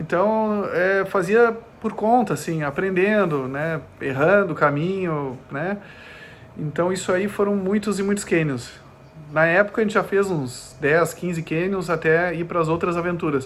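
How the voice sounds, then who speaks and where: This man's high-pitched voice shows ordinary pitch variation and moves at a fairly slow pace. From southern Brazil (Gravataí, Porto Alegre area), partly Germany. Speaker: ultramarathon runner. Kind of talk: podcast interview. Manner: halting, many fillers.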